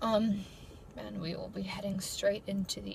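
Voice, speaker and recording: With noticeable background noise and audible room echo, a woman talks at a medium pitch with fairly even intonation. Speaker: YouTuber, college student. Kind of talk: casual vlog talk. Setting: in her car. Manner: halting, off the cuff.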